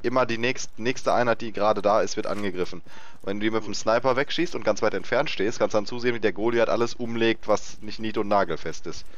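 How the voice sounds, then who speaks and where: A man's medium-pitched voice at a very fast pace. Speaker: gaming YouTuber. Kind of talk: let's play commentary. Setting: recording session with co-player online. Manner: animated.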